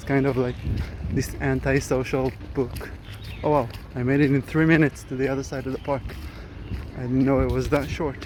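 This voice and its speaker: At a fairly quick pace but with long, frequent pauses, a medium-pitched man speaks in a monotone, flat intonation. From Israel. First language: Hebrew. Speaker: vlogger. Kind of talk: casual vlog monologue. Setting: outdoors, walking through a park. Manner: hesitant, many fillers.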